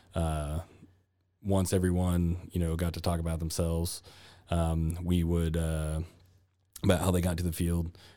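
A man with a very deep, low, dark, mellow voice speaks in a monotone, flat way with long, frequent pauses, in a very clean recording with a silent background. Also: moderate pace. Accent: Texan. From Texas (Granbury). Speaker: hospital laboratory manager. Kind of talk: interview. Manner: halting, many fillers.

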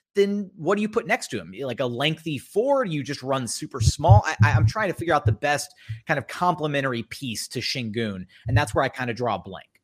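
This man has a normal speaking voice with a fairly high pitch, captured in a very clean recording with a silent background. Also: big swings in loudness. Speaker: basketball podcast host. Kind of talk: casual sports podcast chat. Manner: joking, talkative.

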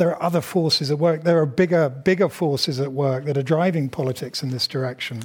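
A somewhat breathy voice with a British accent, a very fast pace and hardly any pauses. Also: man, fairly high pitch for a man, ordinary pitch variation. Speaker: journalist and moderator. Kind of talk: moderated Q&A. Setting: stage with audience. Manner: hesitant with fillers.

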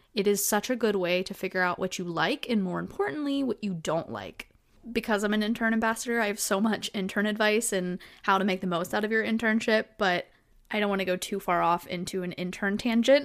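Her medium pitch moving with ordinary variation, a woman talks at a fairly quick pace. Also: very clean recording, silent background. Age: 20s. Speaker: podcast host. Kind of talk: casual monologue. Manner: animated.

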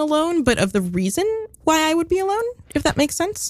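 A woman's voice at a fairly quick pace, with very wide swings in pitch. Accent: American. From New York City (East Village). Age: 20s. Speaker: guest. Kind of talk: casual chat.

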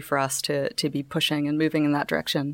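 The speaker talks very fast in a Canadian accent with monotone, flat intonation. The recording is very clean, with a silent background. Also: woman. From Canada. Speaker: fintech startup co-founder. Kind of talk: casual interview.

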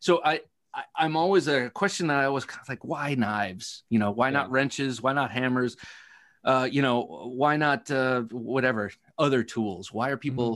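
At a moderate pace, a man with a plain, everyday voice speaks in a medium pitch with ordinary pitch variation against a quiet background. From Ohio. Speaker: knife podcaster. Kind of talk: casual chat.

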